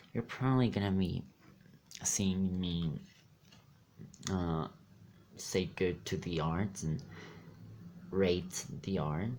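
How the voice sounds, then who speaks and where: A quiet man talks at a very slow pace with long, frequent pauses. His pitch is very deep and low, with ordinary variation. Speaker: card pack opening youtuber. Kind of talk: casual pack opening commentary. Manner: quiet, low-volume talk; animated, exclamatory.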